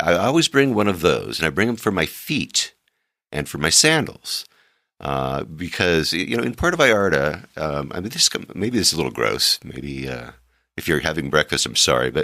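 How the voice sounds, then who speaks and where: A man's very deep, low voice with vocal fry and very wide pitch swings, at a moderate pace, on a very clean recording with a silent background. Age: 60s. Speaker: travel podcast host. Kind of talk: casual monologue. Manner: halting, many filler words.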